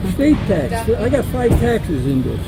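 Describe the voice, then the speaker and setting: An animated voice speaks at a fairly slow pace with music in the background and audible room echo. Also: man. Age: 80s+. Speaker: flea market vendor selling vacuum parts. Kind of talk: casual chat.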